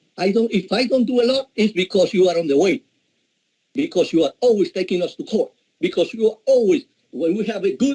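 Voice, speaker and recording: With a dark, mellow tone yet a high pitch, a man speaks at a moderate pace with lively intonation in a dry, close sound with no echo. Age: 70s. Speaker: city councilman. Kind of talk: heated council speech. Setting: city council meeting. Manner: animated.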